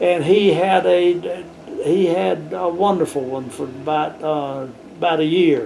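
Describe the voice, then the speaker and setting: In an American accent, a man speaks fairly slowly at a fairly high pitch, with audible room echo and noticeable background noise. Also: ordinary pitch variation. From US South. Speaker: planetarium educator. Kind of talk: interview.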